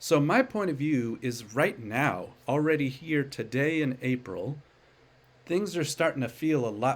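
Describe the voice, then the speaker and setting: A man's fairly slow speech, with ordinary pitch variation, comes across a very clean recording against a silent background. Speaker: stock market commentator. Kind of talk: solo commentary video.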